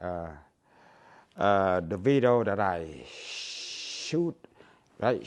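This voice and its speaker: A man with a Cambodian accent. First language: Khmer. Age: 60s. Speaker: YouTuber. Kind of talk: casual vlog monologue. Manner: halting, many fillers.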